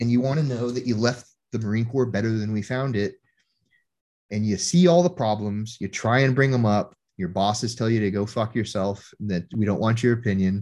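At a fairly quick pace, a man with an unremarkable speaking voice talks with ordinary pitch variation. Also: medium pitch for a man. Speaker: Marine veteran. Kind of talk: casual chat.

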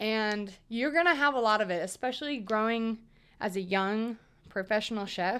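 Using a normal speaking voice with an American accent, a woman talks at a moderate pace with a fairly high pitch and ordinary pitch variation on a very clean recording with a silent background. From US South, Atlanta then Austin, Texas. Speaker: chef and podcaster. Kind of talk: casual solo podcast monologue. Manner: casual, with frequent laughs and fillers.

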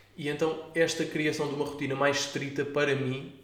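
A man with a European Portuguese accent speaks in a fairly high pitch and a monotone, flat intonation. Room echo is audible. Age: 20s. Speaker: podcast host. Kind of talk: solo monologue podcast.

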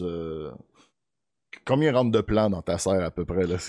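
A man speaks at a moderate pace with a very deep, low pitch and a dark, mellow tone, recorded very cleanly against a silent background with a dry, close sound and no echo. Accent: Quebec. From Beauce, Quebec. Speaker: podcast host. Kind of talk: interview.

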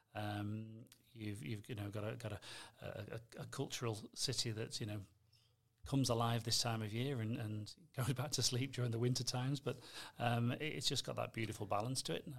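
A man's somewhat breathy voice holds a fairly even intonation. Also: medium pitch for a man, moderate pace. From northwest England. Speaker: foundation executive director. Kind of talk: casual interview chat.

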